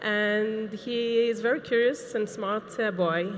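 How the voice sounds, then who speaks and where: A woman with an Israeli accent, ordinary pitch variation and audible room echo. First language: Hebrew. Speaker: assistive technology specialist. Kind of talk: conference lecture. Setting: conference stage with audience. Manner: hesitant, with fillers.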